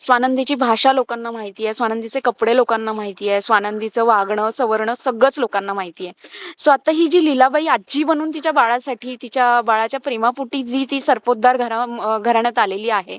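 A woman speaks with a high voice. Her pitch varies in an ordinary way. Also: dry, close sound with no echo. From Vidarbha, Maharashtra. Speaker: TV serial actress. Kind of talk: interview.

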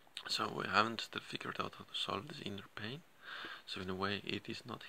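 Vocal fry runs through speech at a moderate pace over light background noise. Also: man. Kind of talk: casual vlog chat. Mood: distressed, emotional. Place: home room. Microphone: phone near.

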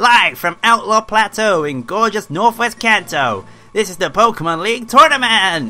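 A man's put-on character voice, high-pitched, at a moderate pace, with faint music in the background. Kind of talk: announcer.

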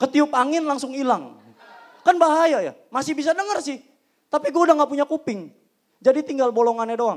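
Against a quiet background, a man with an extremely high pitch talks at a fairly quick pace in an animated tone, with ordinary pitch variation. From Indonesia. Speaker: stand-up comedian. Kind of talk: stand-up comedy. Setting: stage with audience. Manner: punchline-driven, acts out characters. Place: stage. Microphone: handheld.

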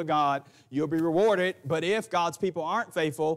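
A man speaks in a high pitch. His pitch variation is ordinary. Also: quiet background. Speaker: preacher. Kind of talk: sermon. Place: church.

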